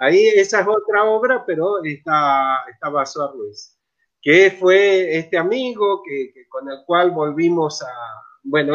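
A man speaks at a fairly slow pace in a high voice, with lively intonation and big swings in loudness. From Argentina, Mendoza. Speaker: theatre researcher and director. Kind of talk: interview on live stream.

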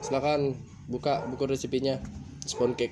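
At a moderate pace, a man talks at a medium pitch. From Bali, Badung. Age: 20s. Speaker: culinary student and podcaster. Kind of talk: casual solo monologue. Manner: halting.

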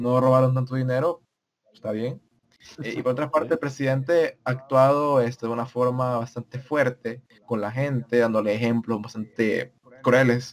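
A man at medium pitch talks at a fairly slow pace with long, frequent pauses, fairly even intonation and big swings in loudness. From El Salvador. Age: 19. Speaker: podcast co-host. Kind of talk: casual chat.

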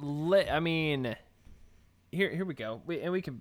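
A man with a Texan accent speaks at a fairly slow pace in a fairly high pitch. His intonation is lively. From Texas. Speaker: podcast co-host. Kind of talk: casual chat.

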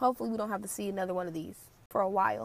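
A woman with an American accent talks at a medium pitch. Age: 20s. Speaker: podcast host. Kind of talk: solo commentary.

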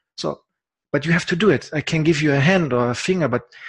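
Here a man talks at a fairly high pitch with ordinary pitch variation. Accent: German. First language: German. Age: 40s. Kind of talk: casual interview. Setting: apartment. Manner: halting.

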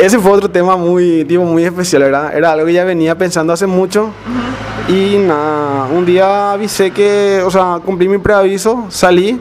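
A man's high voice with fairly even intonation and hardly any pauses, over noticeable background noise. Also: moderate pace, very even loudness. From Areguá, Paraguay. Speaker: podcast host, accountant. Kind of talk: casual chat.

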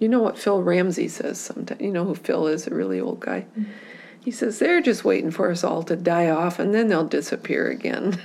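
A woman with an American accent talks at a fairly quick pace in a fairly low pitch, with ordinary pitch variation and noticeable background noise. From Michigan, US Midwest. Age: 70s. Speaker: community activist. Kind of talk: oral history interview. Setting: at home.

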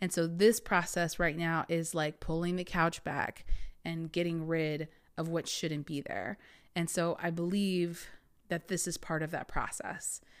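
Flat, monotone intonation at a fairly slow pace in a very clean recording with a silent background. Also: woman, fairly low pitch for a woman. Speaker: spirituality podcast host and energy coach. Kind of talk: casual monologue. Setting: podcast recording. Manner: halting.

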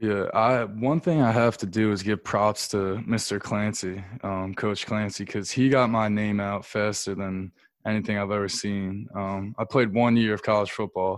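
A normal speaking voice with an American accent, fairly even intonation and a moderate pace, on a very clean recording with a silent background. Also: man, fairly low pitch for a man. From US, Delaware County, Pennsylvania. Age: 20s. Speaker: college basketball player. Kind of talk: casual interview.

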